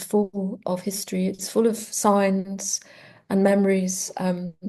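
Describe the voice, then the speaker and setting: A woman with a medium pitch talks at a fairly slow pace in a somewhat breathy, dark, mellow tone, her intonation monotone and flat. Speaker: poet. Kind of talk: interview. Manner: halting.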